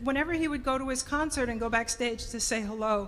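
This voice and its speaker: A woman with an American accent talks at a fairly quick pace. Her pitch is high and her intonation lively. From New Jersey (Orange, Essex County). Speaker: speaker at a community event. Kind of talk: public remarks to an audience.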